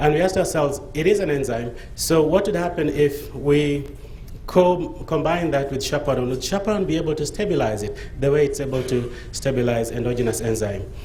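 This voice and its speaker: A man speaks at a fairly quick pace and a fairly high pitch, with lively intonation. Noticeable background noise and audible room echo surround him. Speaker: pharmaceutical researcher. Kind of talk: conference presentation. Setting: conference stage with audience. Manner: fast; hesitant, with fillers.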